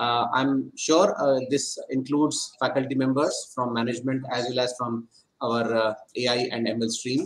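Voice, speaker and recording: The man talks at a moderate pace. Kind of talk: welcome address. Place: office. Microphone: video call.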